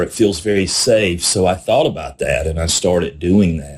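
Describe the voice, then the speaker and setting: A man with a Southern US accent speaks with lively intonation and a somewhat breathy voice. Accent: Southern US country. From South Carolina. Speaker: podcast host, recovery advocate. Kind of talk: personal testimony. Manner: conversational, repetitive fillers.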